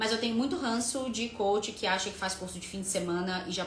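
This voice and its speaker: Amid noticeable background noise and audible room echo, a woman speaks at a moderate pace in an animated tone with ordinary pitch variation. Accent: Rio de Janeiro. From Rio de Janeiro, Brazil. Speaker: workshop presenter and coach. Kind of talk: live online workshop. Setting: video call livestream.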